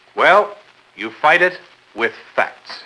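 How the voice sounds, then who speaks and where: A man speaks over noticeable background noise. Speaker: newsreel host. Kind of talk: instructional sales newsreel narration.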